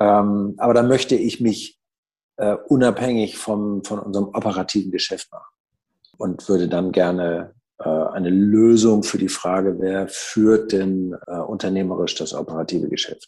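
At a moderate pace, a man speaks in a dark, mellow, fairly low voice with fairly even intonation. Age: 60s. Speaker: business owner and managing director. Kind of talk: interview. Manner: hesitant, many fillers.

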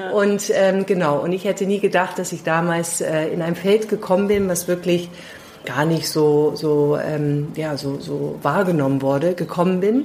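A woman at a fairly low pitch with ordinary pitch variation, fairly slow in pace, over noticeable background noise. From London, England. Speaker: leadership consultant. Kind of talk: interview. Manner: hesitant, many fillers.

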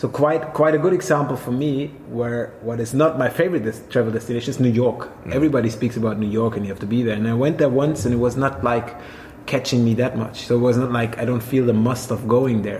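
Noticeable background noise sits behind a man speaking very fast with a German accent. His pitch is medium and varies in an ordinary way. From Swabia, southern Germany. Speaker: hotel manager. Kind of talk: casual conversation. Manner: halting.

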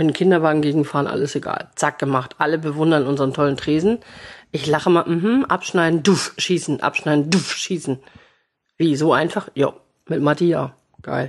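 A woman speaks with a very deep, low pitch and an animated tone. Her pace is moderate, her pitch variation ordinary, and the background quiet. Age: 40s. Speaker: café owner. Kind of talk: casual chat.

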